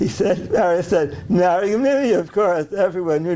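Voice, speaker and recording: A man with an American accent speaks in a high voice. Noticeable background noise runs under him. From US Northeast. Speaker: animal genetics professor. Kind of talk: interview. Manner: halting.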